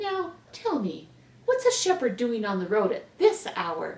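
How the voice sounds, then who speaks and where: A woman puts on a squeaky, shaky character voice at an extremely high pitch. She talks at a fairly slow pace. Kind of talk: bedtime story. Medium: read story.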